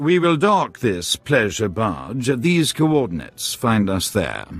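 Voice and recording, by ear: Doing a put-on character voice, a man with a fairly low pitch speaks slowly with very wide pitch swings while faint music plays in the background.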